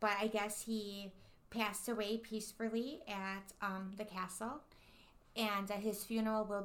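A woman's medium-pitched, bright, sharp voice, monotone and flat, at a fairly slow pace with audible room echo. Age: 40s. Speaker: podcast co-host. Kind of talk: casual chat.

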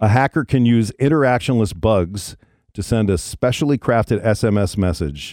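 With a plain, everyday voice at medium pitch, a man speaks at a moderate pace with lively intonation in a dry, close sound with no echo. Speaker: radio host. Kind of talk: news story read aloud with banter. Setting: studio.

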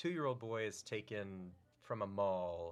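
A man with an American accent talks at a fairly low pitch with ordinary pitch variation. It is an unremarkable speaking voice. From Oklahoma. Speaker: comedy writer and stand-up comedian. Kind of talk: casual chat.

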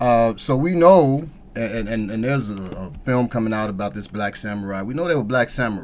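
Talking at a fairly quick pace, a man with a normal speaking voice uses lively intonation. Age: 50s. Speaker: martial arts instructor. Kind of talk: casual chat.

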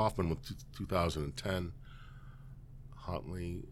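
With a Chicago accent and a very deep, low pitch, a man speaks at a fairly slow pace with fairly even intonation. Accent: Chicago-area American. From US Midwest, Elgin, Illinois. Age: 50s. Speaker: restaurant owner. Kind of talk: casual interview.

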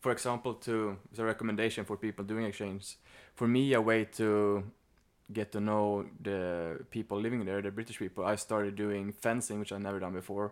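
A man with a Swedish accent speaks at a fairly quick pace. His voice is fairly low in pitch, and his intonation is monotone and flat. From Sweden. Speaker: former exchange student. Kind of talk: casual chat.

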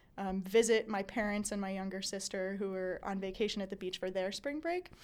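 Recorded very cleanly against a silent background, a woman with an American accent uses a normal speaking voice at medium pitch, moving at a moderate pace with fairly even intonation. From US South, Raleigh, North Carolina. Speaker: graduate student. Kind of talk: interview storytelling.

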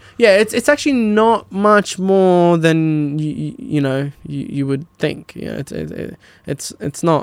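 In a very clean recording with a silent background, a man with an Australian accent speaks at a fairly slow pace, his fairly high pitch carried by lively intonation. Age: 20s. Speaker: podcast host. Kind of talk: casual chat.

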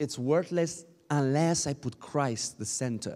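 A man with a Romanian accent speaks in an animated tone. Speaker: pastor. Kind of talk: sermon. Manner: loud.

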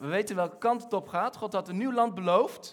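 Ordinary pitch variation at a moderate pace. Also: man. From Egypt. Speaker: preacher. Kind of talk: sermon. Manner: halting.

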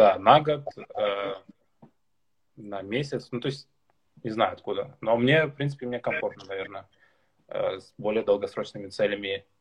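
A man speaks at a fairly slow pace with medium pitch and ordinary pitch variation. His voice is somewhat breathy, broken by long, frequent pauses. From Tatarstan, Russia. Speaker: podcast host, blogger. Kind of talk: livestream interview. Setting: on his balcony, live video stream. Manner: halting.

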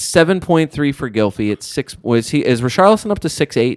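A man with a plain, everyday voice speaks at a moderate pace in a fairly high pitch. The recording is very clean with a silent background and a dry, close sound with no echo. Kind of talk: live commentary.

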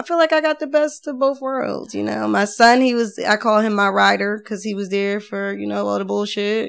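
A woman speaks at a moderate pace with hardly any pauses. The recording is very clean, with a silent background. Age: 30s. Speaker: podcast guest, mother. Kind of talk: casual chat.

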